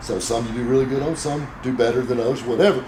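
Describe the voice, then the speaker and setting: Over noticeable background noise, a man with an American accent speaks at a very fast pace. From South Carolina, USA. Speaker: car dealer and radio show host. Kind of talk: interview answer.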